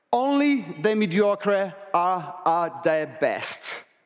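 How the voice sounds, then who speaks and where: A man speaks with a non-native accent. His tone is animated. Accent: noticeable non-native. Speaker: real estate agent. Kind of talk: conference keynote. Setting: stage with audience. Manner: fast.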